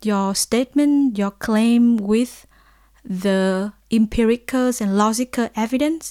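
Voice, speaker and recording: A woman with a Vietnamese accent, fairly high in pitch, very slow, with fairly even intonation and a dry, close sound with no echo on a very clean recording with a silent background. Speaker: lecturer and researcher. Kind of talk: lecture. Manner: halting.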